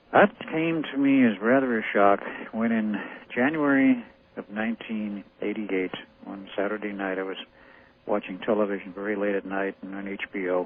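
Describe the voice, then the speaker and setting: A man with a normal speaking voice talks at a moderate pace in an American accent, his pitch fairly low and his pitch variation ordinary. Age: 60s. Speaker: radio show guest, claimed experiment participant. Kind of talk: radio interview.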